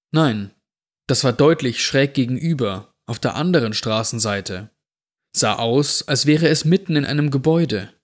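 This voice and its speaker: A man with an ordinary speaking voice talks at a medium pitch and a fairly slow pace. His intonation is lively, on a very clean recording with a silent background. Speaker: podcast host reading creepypasta. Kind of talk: scripted horror story narration, read aloud. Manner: slow, suspenseful, hushed storytelling pace; atmospheric, tense, building dread.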